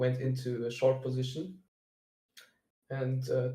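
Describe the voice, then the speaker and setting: A man speaks with a German accent at a moderate pace. His medium pitch stays monotone and flat. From Germany. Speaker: day trader sharing analysis. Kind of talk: screen-share trading walkthrough. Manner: halting, many fillers.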